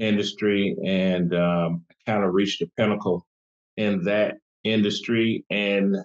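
Over a quiet background, a man uses fairly even intonation in an unremarkable speaking voice. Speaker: guest. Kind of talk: interview answer. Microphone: video call.

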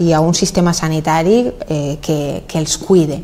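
A woman speaks with a Valencian accent. Her pace is fairly slow. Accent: Valencian Catalan. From Valencia region, Spain. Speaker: mayor. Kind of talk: interview. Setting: office. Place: studio. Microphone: lapel.

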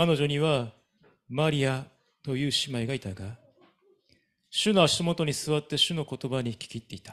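A man speaks at a moderate pace with ordinary pitch variation and big swings in loudness. Long, frequent pauses break up his speech, over a quiet background. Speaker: pastor. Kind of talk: reading aloud. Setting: church. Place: church. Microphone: handheld.

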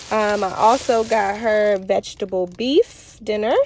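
The sound is dry with no echo, with light background noise. A woman speaks with ordinary pitch variation. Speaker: parent vlogger. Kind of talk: casual vlog chat. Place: car. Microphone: phone near.

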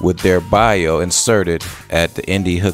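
Faint music plays in the background of a dry recording with no echo. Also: man.

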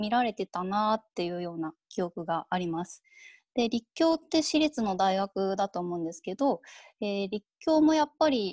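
A woman's voice with very wide pitch swings at a moderate pace, dry with no echo, over a quiet background. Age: 30s. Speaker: freelance writer; keynote speaker. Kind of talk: keynote lecture. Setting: video call. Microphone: earbuds.

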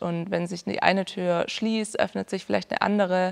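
A woman's medium-pitched voice with monotone, flat intonation. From southern Germany, Ulm (Swabia); southern Germany. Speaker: music student, classical singer. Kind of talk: interview. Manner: hesitant, many fillers. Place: stage.

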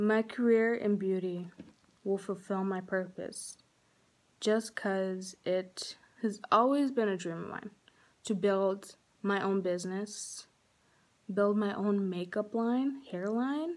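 A woman talks at a very slow pace, with long, frequent pauses throughout. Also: ordinary pitch variation. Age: young. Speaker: cosmetology student. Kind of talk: scholarship application video talk to camera. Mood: earnest, heartfelt. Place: home room. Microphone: phone near.

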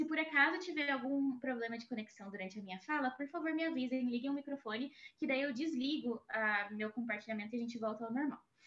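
A high-pitched woman talks at a very fast pace. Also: ordinary pitch variation. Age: 20s. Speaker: international relations graduate, speaker. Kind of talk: presentation talk. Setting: video call. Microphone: video call.

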